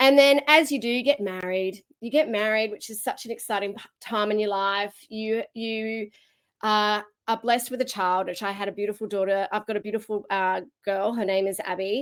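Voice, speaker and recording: Speaking with an Australian accent, a woman keeps fairly even intonation while her loudness swings widely, in a very clean recording with a silent background. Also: fairly high pitch for a woman, moderate pace. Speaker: keynote speaker. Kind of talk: keynote talk.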